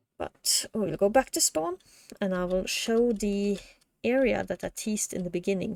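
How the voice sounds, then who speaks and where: In an ordinary speaking voice, a woman talks at a medium pitch and moderate pace with ordinary pitch variation, the sound dry and close with no echo. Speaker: gaming content creator. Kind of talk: casual gameplay walkthrough.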